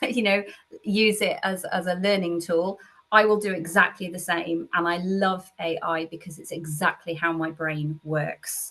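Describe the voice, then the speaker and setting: Spoken at a moderate pace, this is an ordinary speaking voice with fairly even intonation. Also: woman. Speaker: tutor and assessor. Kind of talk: interview.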